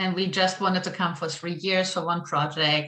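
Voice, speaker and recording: Against noticeable background noise, a woman with a German accent speaks at a moderate pace in a fairly low voice. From East Germany, Friedensau. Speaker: church member. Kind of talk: interview.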